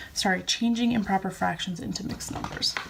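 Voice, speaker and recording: Noticeable background noise is present. Through it, a woman speaks. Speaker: teacher. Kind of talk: tutorial.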